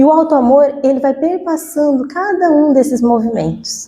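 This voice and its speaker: A woman in a Cuiabá accent speaks with a high pitch, lively intonation and a dark, mellow tone. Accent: Cuiabá accent, noticeable. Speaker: spiritist lecturer. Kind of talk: lecture. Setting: spiritist center talk with audience, microphone. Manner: conversational, chatty.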